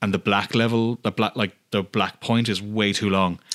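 A man speaks at a fairly quick pace in a bright, sharp tone, fairly low-pitched with fairly even intonation. The sound is dry and close with no echo, on a very clean recording with a silent background. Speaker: podcast host. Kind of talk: casual interview chat. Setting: studio.

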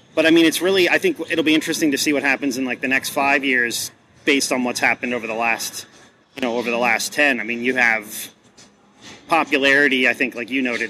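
A man talks with a normal speaking voice at a medium pitch. His intonation stays fairly even. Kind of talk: casual interview chat. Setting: conference event interview.

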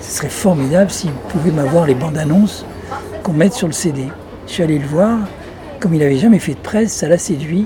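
Amid noticeable background noise, a man with a fairly high pitch and ordinary pitch variation talks at a fairly quick pace, with long, frequent pauses. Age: 70s. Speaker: retired magazine publisher, former singer. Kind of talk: interview. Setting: restaurant terrace by the beach, windy.

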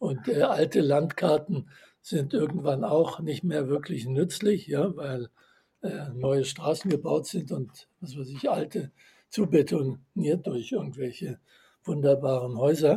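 A man speaks very slowly in a fairly high, somewhat breathy voice. His pitch sits fairly high for a male speaker. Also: ordinary pitch variation. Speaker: author and systems theorist. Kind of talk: interview.

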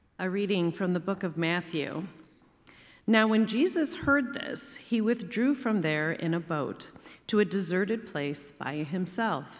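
Here is a normal speaking voice with lively intonation. The pace is fairly slow. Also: woman, medium pitch for a woman. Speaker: scripture reader. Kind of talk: reading aloud.

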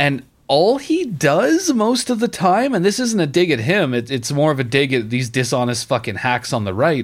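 A man speaks at a moderate pace in an animated, angry tone, his pitch swinging very widely. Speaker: podcast host. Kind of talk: casual comedic chat about video games. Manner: animated, profane, angry about Ubisoft.

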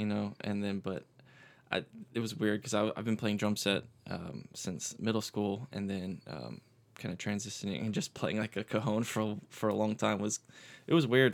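In a very clean recording with a silent background, a man with an unremarkable speaking voice talks at a moderate pace, fairly low in pitch, with ordinary pitch variation. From Florida Panhandle (Pensacola), US South. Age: 20s. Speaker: musician. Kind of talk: casual chat.

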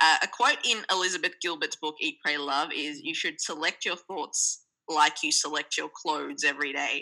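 A woman speaks at a moderate pace. She leaves hardly any pauses. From Sri Lanka and Australia. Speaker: podcast producer and journalist. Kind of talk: casual interview chat. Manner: animated, humorous.

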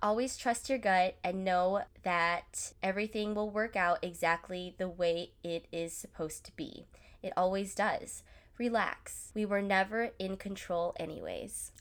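On a very clean recording with a silent background, a woman talks fairly slowly in an animated tone, her medium pitch showing ordinary variation. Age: 20s. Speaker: podcast host. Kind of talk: casual monologue.

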